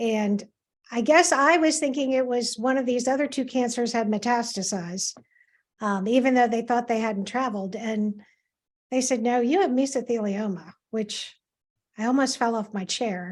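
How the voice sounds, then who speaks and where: A woman with an American accent has an unremarkable speaking voice and a fairly high pitch with ordinary variation. She speaks at a moderate pace on a very clean recording with a silent background. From US Mid-Atlantic, Washington DC area. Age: 60s. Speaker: cancer patient. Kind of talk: interview testimony.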